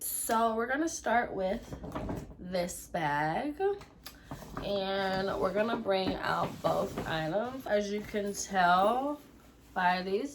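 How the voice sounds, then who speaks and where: A woman speaks with medium pitch and lively intonation. Audible room echo can be heard in the recording. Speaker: beauty and lifestyle vlogger. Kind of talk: casual unboxing vlog. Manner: casual, chatty with fillers.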